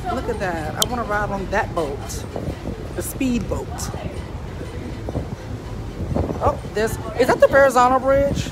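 A woman's fairly slow speech over music in the background. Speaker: vlogger. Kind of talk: casual vlog chat. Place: boat. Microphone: phone near.

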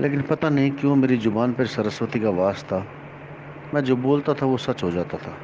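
A man keeps a moderate pace, medium pitch and ordinary pitch variation while noticeable background noise goes on. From Haryana, India (Gurgaon). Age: 40s. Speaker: astrologer. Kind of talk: group discussion, personal testimony.

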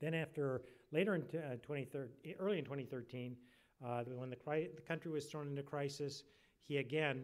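A man speaks at a moderate pace. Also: quiet background. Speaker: event moderator. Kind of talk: formal introduction speech. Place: hall. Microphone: podium.

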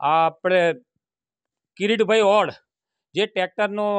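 Against a quiet background, a man with a high pitch sounds dry and close, with no echo. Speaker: local resident. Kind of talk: interview complaint.

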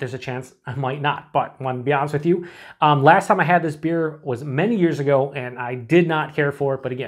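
The delivery runs at a fairly quick pace with ordinary pitch variation. The background is quiet. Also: man. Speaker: beer reviewer. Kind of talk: casual review chat. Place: home room.

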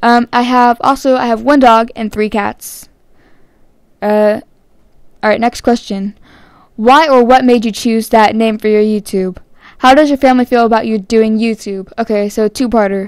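A woman with an American accent speaks at a moderate pace, leaving long, frequent pauses. Her voice is fairly high with fairly even intonation. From California. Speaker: gaming YouTuber. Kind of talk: casual Q&A vlog. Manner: hesitant, many fillers.

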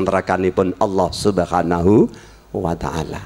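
A man with a Javanese accent at a moderate pace. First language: Javanese (speaking Indonesian). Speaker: Islamic preacher. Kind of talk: sermon. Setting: circumcision celebration gathering with audience. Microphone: handheld.

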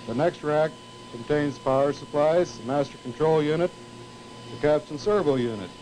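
Against light background noise, a man with an American accent and a fairly high pitch talks at a moderate pace, with long, frequent pauses and ordinary pitch variation. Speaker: television engineer giving a tour. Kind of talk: vintage training film narration, a guided tour demonstrating equipment to students. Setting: studio tape room, filmed tour. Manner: formal, measured, explanatory; didactic, with occasional 'uh' pauses.

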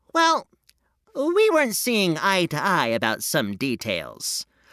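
Using a put-on character voice, a man speaks fairly slowly in a high pitch, his voice raised and projected.

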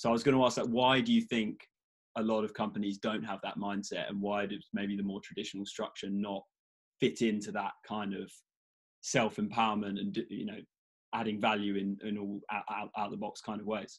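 A man with a British accent, fairly low in pitch, flat and monotone, at a fairly quick pace against a quiet background. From UK. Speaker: podcast host. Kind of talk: casual interview. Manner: halting, many fillers. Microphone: video call.

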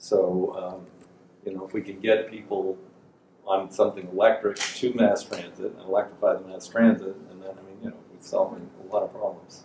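The speech moves at a fairly quick pace with big swings in loudness, audible room echo, and light background noise. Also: man. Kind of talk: casual conversation. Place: shop. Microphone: camera far.

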